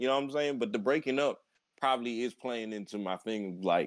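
A man speaks in a normal speaking voice. His pitch variation is ordinary. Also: very clean recording, silent background. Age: 20s. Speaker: anime podcast co-host. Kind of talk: casual chat.

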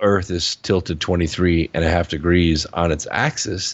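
A man speaks with an American accent. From Southern California (Pasadena). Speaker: author and public speaker. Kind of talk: podcast interview. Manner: halting.

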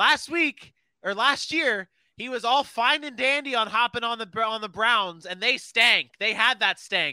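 An animated man with an extremely high, bright and sharp voice, raised and projected, with ordinary pitch variation. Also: fairly slow pace. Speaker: podcast host. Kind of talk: casual sports banter. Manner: animated, joking.

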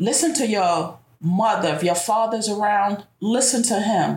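With an ordinary speaking voice, a woman talks in an American accent at a medium pitch, using lively intonation at a fairly slow pace. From New York City. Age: 50s. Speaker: bank worker, grandmother. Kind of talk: personal testimony in interview.

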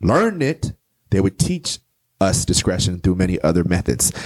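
Lively intonation and an animated, passionate tone mark this man's very deep, low voice. He keeps a moderate pace in a dry, close sound with no echo. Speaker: poet and author. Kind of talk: casual interview chat. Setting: studio. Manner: animated, passionate delivery.

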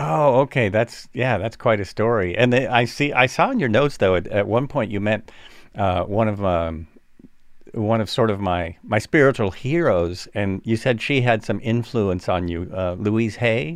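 A man has an unremarkable speaking voice at medium pitch with ordinary pitch variation. He talks at a moderate pace over a quiet background. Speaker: podcast host. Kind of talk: casual chat.

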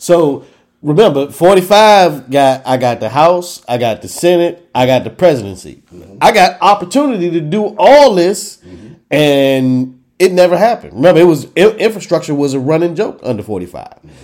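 A man with a high pitch talks at a moderate pace with hardly any pauses and very wide pitch swings. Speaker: podcast host. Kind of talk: casual podcast banter and discussion.

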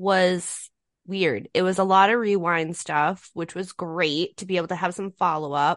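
In an ordinary speaking voice, a woman talks at a fairly slow pace, her fairly low pitch held to a fairly even intonation. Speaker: co-host. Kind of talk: casual banter podcast.

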